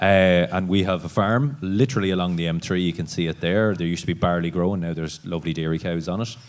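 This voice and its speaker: A man with an Irish accent speaks at a very fast pace in a very deep, low pitch. He leaves hardly any pauses. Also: ordinary pitch variation. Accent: rural Irish (Cavan). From Ireland, East Cavan. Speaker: dairy farmer. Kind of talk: panel discussion.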